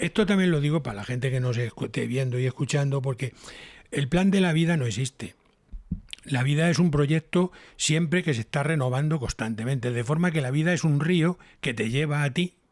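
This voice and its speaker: Speaking at a moderate pace, a man with a plain, everyday voice sits fairly high in pitch with ordinary pitch variation. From Spain, Toledo. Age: 60s. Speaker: TV scriptwriter and radio broadcaster. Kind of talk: casual interview chat. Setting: home.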